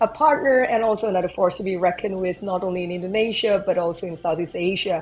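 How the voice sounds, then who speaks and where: A woman is heard over noticeable background noise. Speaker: CEO hosting a company AMA. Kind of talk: live online AMA panel. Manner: animated.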